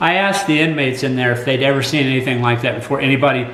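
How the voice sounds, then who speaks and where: A man's medium-pitched voice with an American accent and fairly even intonation, plus audible room echo and noticeable background noise. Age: 60s. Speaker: college teacher and commentator. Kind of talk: personal commentary. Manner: halting.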